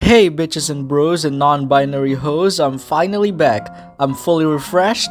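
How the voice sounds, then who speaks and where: With music in the background, a man talks at a moderate pace in a fairly high pitch with ordinary variation. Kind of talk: casual show review talk.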